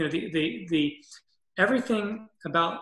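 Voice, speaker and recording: An American accent amid audible room echo. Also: man, quiet background. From US Northeast, Massachusetts. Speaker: orchestral clarinetist and mouthpiece maker. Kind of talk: interview conversation. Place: home room. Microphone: webcam.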